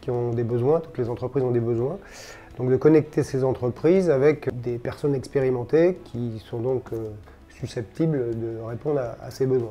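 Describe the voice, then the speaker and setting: Here a man talks at a moderate pace with a medium pitch. His tone is dark and mellow, with ordinary pitch variation. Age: 60s. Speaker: finance consultant and business school teacher. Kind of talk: testimony interview. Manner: hesitant, many fillers.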